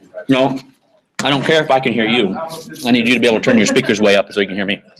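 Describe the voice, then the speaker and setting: A man talks at a very fast pace. His voice sits at a medium pitch with ordinary pitch variation. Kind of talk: casual chat.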